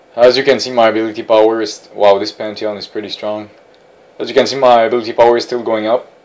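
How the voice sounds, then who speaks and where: A man with a non-native accent speaks at a very fast pace in a monotone, flat intonation. His loudness swings widely. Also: medium pitch for a man. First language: not English. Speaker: gaming tutorial creator. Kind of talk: gameplay commentary tutorial. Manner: halting with fillers and repetitions.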